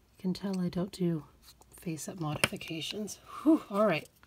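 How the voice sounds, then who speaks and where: A woman of medium pitch. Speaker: doll collector YouTuber. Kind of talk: tutorial. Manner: quiet; slow.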